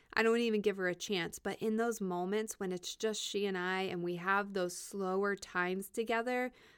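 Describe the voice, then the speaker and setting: This woman has a normal speaking voice at medium pitch, with ordinary pitch variation and a moderate pace, in a very clean recording with a silent background. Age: 30s. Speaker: podcast host and therapist. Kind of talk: solo reflective monologue. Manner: conversational with fillers.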